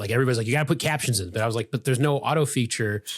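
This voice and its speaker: Recorded very cleanly against a silent background, a man with an American accent sounds somewhat breathy. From US Midwest, Chicago suburbs. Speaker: physician. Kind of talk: podcast interview. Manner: fast.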